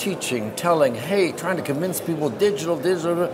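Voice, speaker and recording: A man's fairly high-pitched voice at a fairly quick pace with lively intonation, amid noticeable background noise and audible room echo. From Canada. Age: 70s. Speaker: business executive. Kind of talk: interview. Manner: animated.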